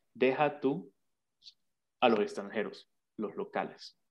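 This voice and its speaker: A man speaks at a fairly high pitch. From Venezuela, Barinas state. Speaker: entrepreneur. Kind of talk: casual interview.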